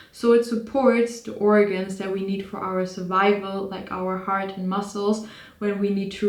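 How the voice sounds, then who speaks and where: With a non-native accent, a woman speaks at a medium pitch and a fairly slow pace in a monotone, flat intonation, with audible room echo. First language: not English. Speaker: psychology student and video creator. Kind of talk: casual educational monologue. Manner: halting, with self-corrections.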